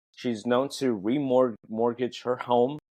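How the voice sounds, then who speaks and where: In a dry, close sound with no echo, a man with a non-native accent speaks at a fairly slow pace and medium pitch. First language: not English. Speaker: fashion podcast co-host. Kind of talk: casual chat. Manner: animated.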